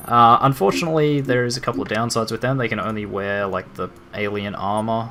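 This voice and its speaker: Noticeable background noise sits under a man with an Australian accent. He has a medium pitch and speaks at a very fast pace. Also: ordinary pitch variation. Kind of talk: video game let's play commentary. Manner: casual, rambling.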